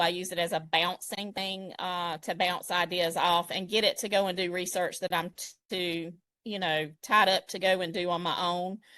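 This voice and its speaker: At a moderate pace, a woman with a Southern US accent speaks in a bright, sharp tone over a quiet background. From South Georgia, US. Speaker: digital design expert. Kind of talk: live tutorial.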